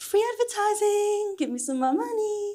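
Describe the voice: A woman speaks at an extremely high pitch with a dark, mellow tone. Her intonation is lively and her pace moderate.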